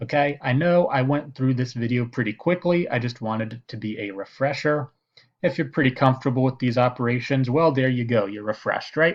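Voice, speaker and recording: A man talks at a fairly quick pace with a medium pitch and ordinary pitch variation, in a normal speaking voice. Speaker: math teacher. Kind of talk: tutorial.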